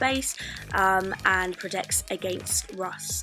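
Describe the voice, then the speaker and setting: A woman speaks as music plays in the background. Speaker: lifestyle blogger. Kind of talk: DIY tutorial voice-over. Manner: casual, hesitant with fillers.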